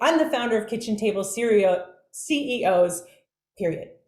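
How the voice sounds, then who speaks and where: There is audible room echo as a woman speaks at a fairly slow pace in an animated tone, her pitch swinging very widely. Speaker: business coach and workshop speaker. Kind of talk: online workshop presentation.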